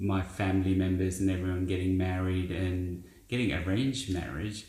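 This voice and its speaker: Audible room echo surrounds a man's somewhat breathy voice with a very deep, low pitch. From India. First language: Indian language. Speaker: business founder. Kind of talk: interview.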